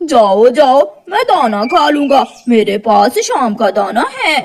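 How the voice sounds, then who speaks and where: A high-pitched, cartoonish character voice speaks at a fairly slow pace. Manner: scornful, dismissive.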